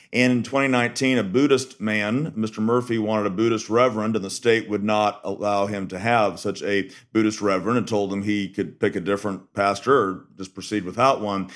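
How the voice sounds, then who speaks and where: A man's fairly low voice at a fairly quick pace, with hardly any pauses and fairly even intonation, in a very clean recording with a silent background. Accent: Texas. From Texas. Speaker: death penalty defense lawyer. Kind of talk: interview.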